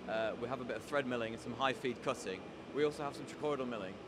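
Amid noticeable background noise, a man talks at a very fast pace with ordinary pitch variation in a dry sound with no echo. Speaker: tooling company demonstrator. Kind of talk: interview answer. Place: workshop. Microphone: handheld.

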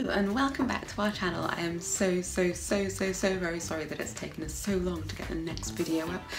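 Clear music plays in the background. Over it, a woman talks at a fairly quick pace. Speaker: mum vlogger. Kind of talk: casual haul talk to camera. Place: home room. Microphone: phone near.

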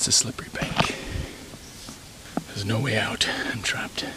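The voice is whispering at a moderate pace. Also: man. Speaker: hiker. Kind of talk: casual talk to camera. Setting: outdoors. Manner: whispered. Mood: joking, playful. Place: forest. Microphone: phone near.

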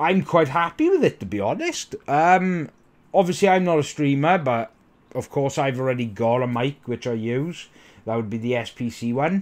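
Lively intonation marks this man's speech. He talks at a fairly slow pace. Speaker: tech reviewer. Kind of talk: product review talk. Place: home room. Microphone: studio mic.

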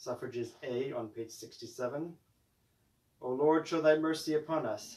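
With a normal speaking voice, a man talks at a fairly slow pace and fairly high pitch, varying it in an ordinary way. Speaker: priest leading evening prayer. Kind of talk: liturgical prayer service, intercessory prayer. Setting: broadcast from a rectory, online stream. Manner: fervent, earnest, solemn, measured intoning of petitions.

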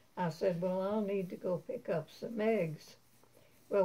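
A woman's somewhat breathy, dark and mellow voice at a medium pitch, fairly slow in pace, with fairly even intonation. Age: 80s+. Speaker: grandmother sharing memories. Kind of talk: storytelling interview. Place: home room. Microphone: camera far.

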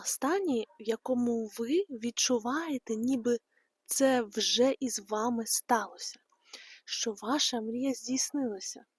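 A woman talks at a very slow pace and a high pitch with ordinary pitch variation, in a dry, close sound with no echo. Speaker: meditation guide. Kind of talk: casual talk to listeners.

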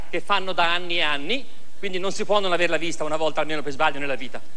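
A man speaks in a raised, projected voice. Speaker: stand-up comedian. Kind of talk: comedy monologue. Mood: mock anger, comic. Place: stage. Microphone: lapel.

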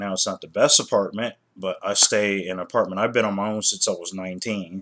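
A man's fairly low voice, flat and monotone in its intonation. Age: 30s. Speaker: YouTuber. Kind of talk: casual commentary vlog; casual opinion vlog commentary. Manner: halting, many fillers and repetitions. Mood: annoyed, critical. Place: home room. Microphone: webcam.

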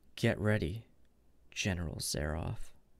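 A man puts on a character voice that is hoarse and very deep. He speaks at a fairly slow pace. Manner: grim, resolute.

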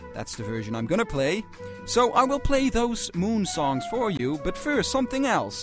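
Clear music plays in the background as a man speaks at a moderate pace. His pitch swings very widely, and the sound is dry with no echo. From Netherlands. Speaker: radio presenter. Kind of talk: late-night jazz radio presenting. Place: studio.

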